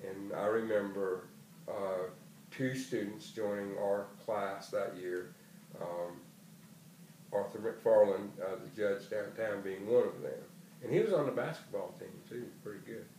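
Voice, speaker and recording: A man with a South Carolina Lowcountry accent at a fairly slow pace, with long, frequent pauses, big swings in loudness, audible room echo and noticeable background noise. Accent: South Carolina Lowcountry Southern US. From South Carolina, Charleston area. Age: 60s. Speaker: retired educator. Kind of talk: oral history interview. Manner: hesitant, frequent fillers.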